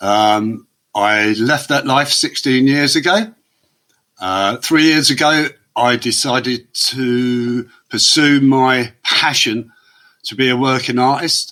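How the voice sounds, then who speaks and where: A man with an English accent and a bright, sharp tone speaks at a very slow pace, with medium pitch and ordinary pitch variation. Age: 60s. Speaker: former prisoner turned artist. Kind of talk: podcast interview.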